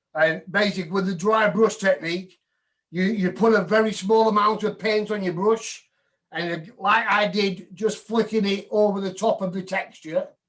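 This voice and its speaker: A man with a northern English accent, high-pitched, at a moderate pace and with fairly even intonation. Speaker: woodturning demonstrator. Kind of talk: live demo tutorial.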